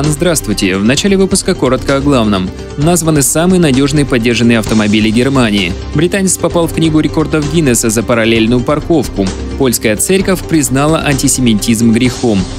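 A man's voice with lively intonation at a fairly quick pace, clear music playing behind it. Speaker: radio news announcer. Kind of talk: radio news reading. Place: studio. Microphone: studio mic.

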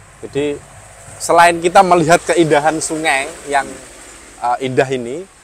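Noticeable background noise sits behind a man's fairly high voice. He talks at a moderate pace with ordinary pitch variation. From Dasun village, Lasem, Rembang, Central Java, Indonesia. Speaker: young historian and village official. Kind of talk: casual interview. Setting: outdoors on a boat on a river.

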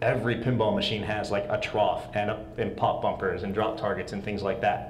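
Male speech amid audible room echo and light background noise. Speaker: pinball software framework developer; conference presenter. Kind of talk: conference presentation with live demo. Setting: stage with audience. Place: hall. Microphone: lapel.

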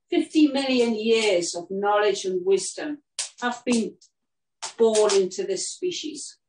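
At a very slow pace, a woman speaks at a fairly high pitch with lively intonation, accompanied by audible room echo and light background noise. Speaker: horse herd custodian and healer; event host. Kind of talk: guided talk and meditation outdoors; talk to a group. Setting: outdoors with horses, streamed. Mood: calm, reverent. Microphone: camera far.

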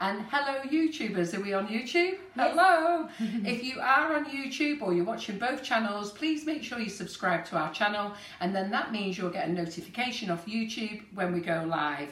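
The pace is moderate with hardly any pauses. Room echo is audible. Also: woman. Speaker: host. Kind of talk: live stream intro chat. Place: kitchen. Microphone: camera far.

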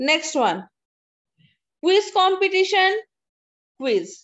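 A very slow pace against a quiet background. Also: woman. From India. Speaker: college English teacher. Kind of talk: online lecture. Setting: video call. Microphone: video call.

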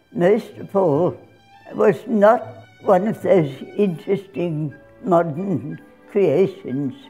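Over faint background music, a woman speaks at a very slow pace with lively intonation. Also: long, frequent pauses. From Australia. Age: 80s+. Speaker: dancer. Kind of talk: interview. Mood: fond, reminiscent. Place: home room.

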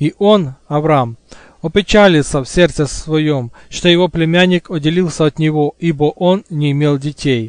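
This man has a plain, everyday voice with ordinary pitch variation at a moderate pace. The sound is dry and close with no echo. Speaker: audiobook narrator. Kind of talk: reading aloud.

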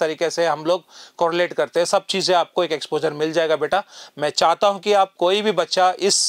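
High-pitched male voice with fairly even intonation, moderate pace, and a quiet background. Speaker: coaching teacher. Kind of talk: announcement to students. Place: studio. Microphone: lapel.

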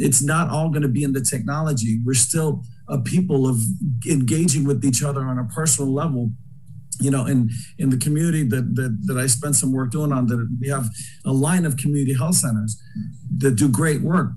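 A man with an American accent speaks at a fairly quick pace in a dark, mellow, somewhat breathy tone. His intonation stays fairly even over light background noise. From Boston. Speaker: former state legislator; panelist. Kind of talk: panel discussion. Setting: video call. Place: home room. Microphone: webcam.

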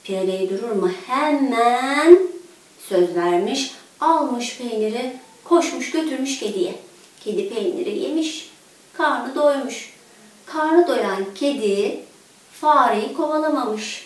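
Strong room echo fills this recording. A woman with a fairly high pitch speaks slowly with lively intonation.

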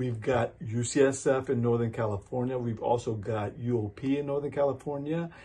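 A man speaks in a dark, mellow, somewhat breathy voice with ordinary pitch variation. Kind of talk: advice vlog talk. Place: office. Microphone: phone near.

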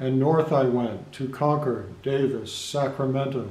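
Speaking very slowly, a man of medium pitch keeps his intonation fairly even. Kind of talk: poetry reading, reflective. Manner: measured, lyrical, slow-paced; wistful, contemplative.

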